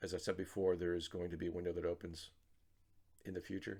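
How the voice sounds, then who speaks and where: A man's very deep, low, somewhat breathy voice, very fast and flat in a monotone. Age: 60s. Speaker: trader vlogger. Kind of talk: casual video journal. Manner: hesitant, many fillers and repetitions.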